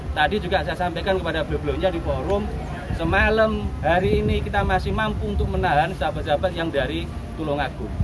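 A man races through his words very fast while loud noise fills the background. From East Java, Indonesia. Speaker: Banser commander. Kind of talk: press statement. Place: street. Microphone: camera far.

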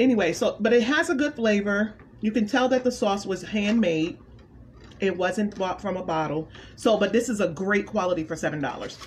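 Over light background noise, a woman talks at a fairly quick pace with lively intonation. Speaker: food reviewer vlogger. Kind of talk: casual vlog chat. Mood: pleased, enthusiastic. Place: home room. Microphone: phone near.

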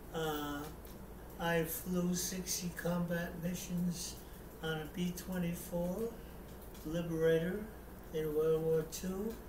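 A man talks in a high pitch with monotone, flat intonation at a very slow pace. Long, frequent pauses break up his speech over noticeable background noise. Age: 80s+. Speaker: war veteran; amateur theatre performer. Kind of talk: casual talk to camera. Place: home room. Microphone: webcam.

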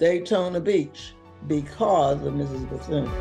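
Faint music in the background behind a fairly slow pace. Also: woman. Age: 80s+. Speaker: retired teacher. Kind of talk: interview answer. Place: home room. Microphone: camera far.

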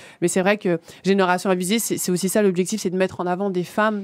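The voice comes through in a flat monotone, the sound dry with no echo and the background quiet. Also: woman. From Île-de-France, Seine-Saint-Denis (Villepinte); Île-de-France. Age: young. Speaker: community association founder; guest. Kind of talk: radio interview. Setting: radio studio. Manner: hesitant, many fillers and repetitions. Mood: earnest, engaged. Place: studio. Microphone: studio mic.

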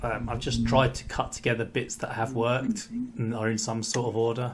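A man speaks in a somewhat breathy voice. Noticeable background noise can be heard. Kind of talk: casual vlog chat. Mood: apologetic, relaxed. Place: garage.

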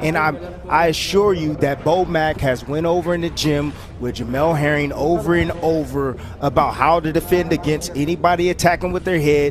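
Noticeable background noise sits behind this recording. The man speaking keeps his intonation fairly even. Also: fairly high pitch for a man, moderate pace. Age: 30s. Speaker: boxing analyst, former fighter. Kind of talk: live commentary.

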